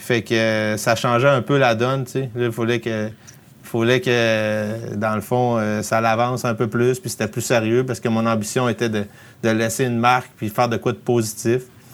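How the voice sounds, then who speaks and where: Moderate pace from a man at medium pitch, with monotone, flat intonation. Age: 30s. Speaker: outdoor filmmaker and production company founder. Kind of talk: casual interview.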